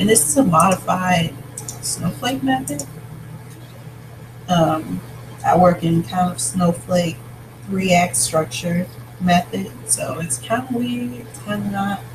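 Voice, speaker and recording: Over noticeable background noise, a man talks at a very slow pace with long, frequent pauses, very wide pitch swings and big swings in loudness. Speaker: vlogger, writer outlining a novel. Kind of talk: casual vlog, planning aloud. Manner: hesitant, many fillers.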